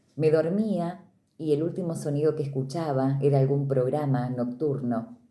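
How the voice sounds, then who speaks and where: Audible room echo surrounds a woman whose very deep, low pitch has a dark, mellow tone as she talks at a moderate pace. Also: ordinary pitch variation. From Argentina, Córdoba province (Río Cuarto). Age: 40s. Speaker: radio announcer and literature teacher. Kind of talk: interview testimony. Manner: clear, practiced announcer delivery.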